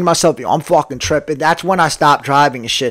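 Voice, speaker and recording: An American-accented man's voice with ordinary pitch variation. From New Jersey. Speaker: podcaster. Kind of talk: casual monologue.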